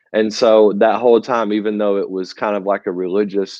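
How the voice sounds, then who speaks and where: A man with a Southern US accent speaks at a fairly low pitch. His intonation is flat and monotone at a moderate pace. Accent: Southern US (Georgia). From US South, rural north Georgia. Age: 30s. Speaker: church drummer, musician. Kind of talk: casual interview.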